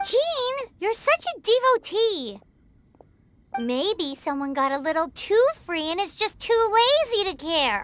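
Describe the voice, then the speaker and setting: An extremely high-pitched put-on character voice, fairly slow, with very wide pitch swings and long, frequent pauses. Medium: video game. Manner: excitable, sassy.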